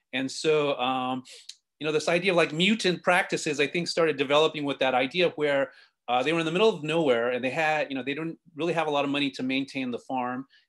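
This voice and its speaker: A man with an American accent, fairly high in pitch, with ordinary pitch variation and a very fast pace. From West Texas, El Paso on the US-Mexico border. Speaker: visual artist. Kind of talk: artist lecture. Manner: many filler words.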